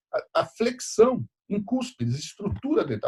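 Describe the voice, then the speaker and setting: With very wide pitch swings, a man speaks in a dry, close sound with no echo. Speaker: dentistry professor. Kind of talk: lecture. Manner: fast; halting.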